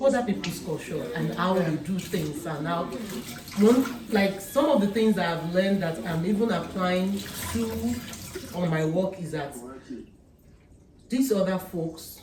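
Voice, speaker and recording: Someone with a non-native accent speaks with long, frequent pauses over noticeable background noise. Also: fairly slow pace. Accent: own accent, non-native English. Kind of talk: casual chat. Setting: dinner table conversation.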